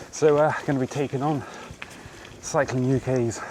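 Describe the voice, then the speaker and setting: A man's medium-pitched voice comes through with noticeable background noise behind it. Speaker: bikepacking vlogger. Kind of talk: casual vlog talk to camera. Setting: outdoors on bike ride. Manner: relaxed, hesitant with fillers.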